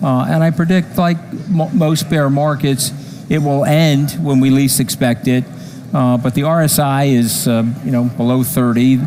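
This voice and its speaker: A man with a fairly high pitch talks at a moderate pace, his loudness very even and his pitch variation ordinary, against noticeable background noise. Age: 60s. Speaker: crypto investor. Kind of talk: interview.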